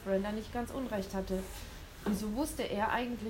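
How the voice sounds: What you hear is a natural reading voice.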